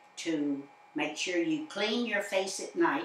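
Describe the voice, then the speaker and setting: A woman at medium pitch with very wide pitch swings, a very slow pace, and noticeable background noise. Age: 80s+. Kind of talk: interview answer.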